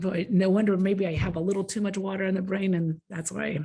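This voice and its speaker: The voice belongs to a woman, pitched in the middle range. There is a somewhat breathy quality to it. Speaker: agricultural education presenter. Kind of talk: conference presentation.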